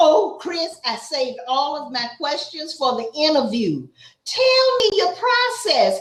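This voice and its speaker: Speaking very slowly with an Atlanta accent, a woman swings her pitch very widely. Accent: Southern, Atlanta. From Atlanta, US South. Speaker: YouTube interviewer. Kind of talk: casual interview.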